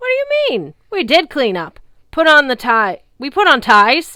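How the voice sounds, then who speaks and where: Bellowing in a raised, projected voice, a woman puts on a character voice at a high pitch and a moderate pace. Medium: read story.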